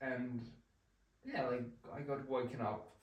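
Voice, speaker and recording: In a Spanish accent, a man with a medium-pitched voice speaks at a fairly slow pace amid audible room echo. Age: 20s. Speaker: vlogger. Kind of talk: casual chat. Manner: halting.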